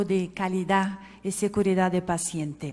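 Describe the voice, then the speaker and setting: In a Portuguese accent, a woman talks. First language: Portuguese (speaking Spanish). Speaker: healthcare quality specialist. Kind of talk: conference talk.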